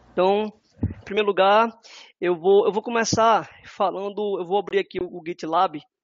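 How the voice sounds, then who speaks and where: Fairly even intonation runs through this man's high voice. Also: moderate pace. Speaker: software developer. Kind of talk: webinar presentation. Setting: online webinar.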